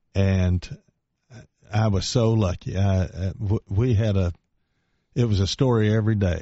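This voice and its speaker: A man's fairly low voice at a fairly slow pace, with long, frequent pauses, ordinary pitch variation and very even loudness. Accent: East Tennessee. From East Tennessee, Knoxville. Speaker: retired congressman. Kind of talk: radio interview. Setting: radio studio.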